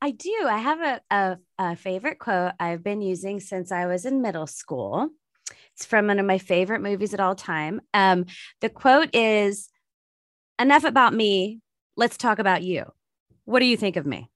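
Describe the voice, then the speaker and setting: Against a quiet background, a woman with an unremarkable speaking voice and medium pitch talks at a moderate pace with lively intonation. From US West Coast, San Francisco Bay Area. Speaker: wedding planner, podcast host. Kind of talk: casual interview chat.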